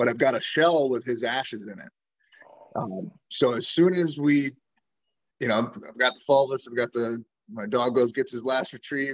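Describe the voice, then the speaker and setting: A man speaks with an Upper Midwest accent at a moderate pace. His pitch is medium, with ordinary variation. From Wisconsin, Door County. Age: 40s. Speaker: hunting content creator, Marine veteran. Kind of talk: casual interview.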